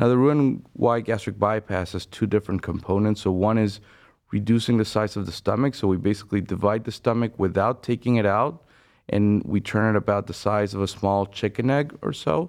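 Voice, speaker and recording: A man with a Spanish accent, fairly low-pitched and fairly quick, against a quiet background. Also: ordinary pitch variation. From Venezuela. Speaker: bariatric surgeon. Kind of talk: interview.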